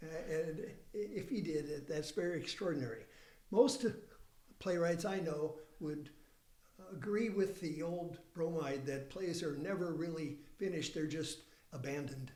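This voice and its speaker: At a fairly high pitch, a man speaks at a moderate pace with ordinary pitch variation, long, frequent pauses and audible room echo. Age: 70s. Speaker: playwright. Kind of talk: casual interview chat. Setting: studio.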